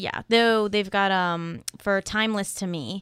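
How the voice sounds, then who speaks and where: A woman with an ordinary speaking voice at a moderate pace, on a very clean recording with a silent background. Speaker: podcast co-host, college student. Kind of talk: casual chat.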